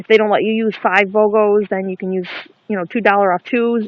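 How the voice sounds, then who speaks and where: Flat, monotone intonation from a woman. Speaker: couponing vlogger. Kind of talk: casual vlog. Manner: fast.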